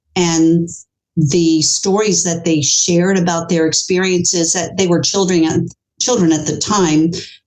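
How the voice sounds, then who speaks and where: A woman's fairly low-pitched voice, fairly slow, with fairly even intonation, very even loudness and audible room echo. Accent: American. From US, New York City. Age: 60s. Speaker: author. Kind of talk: interview.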